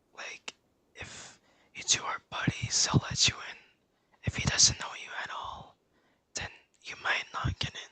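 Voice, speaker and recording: Whispering at a fairly slow pace, broken by long, frequent pauses. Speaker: livestreamer. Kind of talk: casual chat. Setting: online game voice chat. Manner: soft-spoken.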